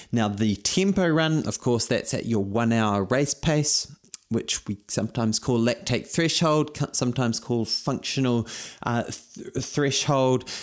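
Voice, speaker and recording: Here a man with a New Zealand accent speaks at a fairly slow pace with lively intonation and very even loudness. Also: medium pitch for a man. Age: 40s. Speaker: running coach podcast host. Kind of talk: fitness tutorial monologue. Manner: energetic.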